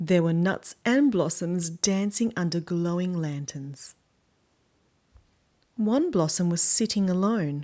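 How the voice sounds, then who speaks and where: In an Australian accent and a dark, mellow tone, the speaker talks at a fairly slow pace with lively intonation and long, frequent pauses, in a very clean recording with a silent background. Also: woman. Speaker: children's book reader. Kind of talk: reading aloud.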